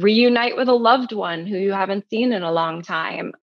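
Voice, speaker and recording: A woman at a moderate pace with lively intonation. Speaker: sleep story creator; former commercial actress. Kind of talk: interview.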